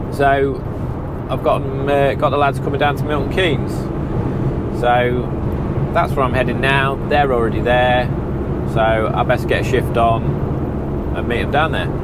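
Over loud background noise, the speaker moves at a moderate pace with long, frequent pauses, the sound dry with no echo. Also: man. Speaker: window fitter vlogger. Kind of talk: casual vlog chat. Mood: relaxed, slightly annoyed. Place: car. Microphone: lapel.

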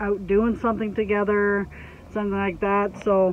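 A woman is heard over light background noise, in a dry sound with no echo. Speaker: homestead vlogger. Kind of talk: casual vlog chat. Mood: relaxed, a bit exasperated. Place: car. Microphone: phone near.

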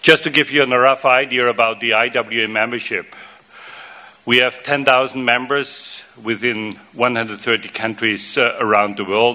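A man with a German accent speaks at a fairly slow pace. His pitch is medium and his intonation fairly even. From Austria (Vienna). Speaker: water association executive; conference speaker. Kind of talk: conference presentation. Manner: halting, many fillers and repetitions. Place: hall. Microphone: podium.

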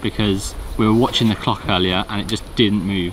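A man with a plain, everyday voice talks at a fairly quick pace and a fairly low pitch. The sound is dry with no echo, with light background noise. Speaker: travel vlogger. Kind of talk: casual vlog chat. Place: open country.

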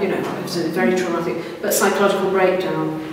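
Amid noticeable background noise and strong room echo, a woman speaks with monotone, flat intonation. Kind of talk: interview answer. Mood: serious, earnest. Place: hall. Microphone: camera far.

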